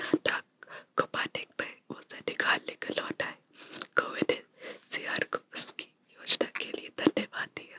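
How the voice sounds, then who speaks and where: A woman whispers with big swings in loudness. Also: dry, close sound with no echo. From India. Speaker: ASMR creator. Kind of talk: ASMR story reading. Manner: whispered.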